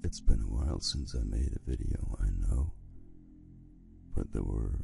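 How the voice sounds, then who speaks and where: Music plays in the background as a man speaks at a very deep, low pitch. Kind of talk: casual talk to listener.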